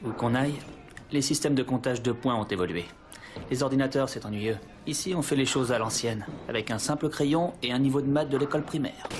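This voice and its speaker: The speech goes at a fairly quick pace yet has long, frequent pauses and ordinary pitch variation. Noticeable background noise is present. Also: man, medium pitch for a man. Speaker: voice actor. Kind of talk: dubbing demo reel. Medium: dub.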